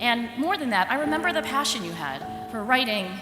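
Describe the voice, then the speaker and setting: Against background music, a woman with a high pitch speaks with very wide pitch swings. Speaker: psychologist and professor. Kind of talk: commencement speech.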